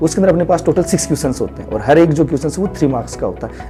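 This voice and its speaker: A man is speaking. Music plays in the background. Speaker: maths teacher. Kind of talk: interview answer, explanatory teaching talk.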